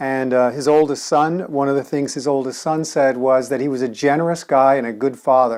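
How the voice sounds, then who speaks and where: A man talks fairly quickly at a medium pitch, with hardly any pauses and fairly even intonation. It is an ordinary speaking voice. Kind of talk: casual review talk to camera.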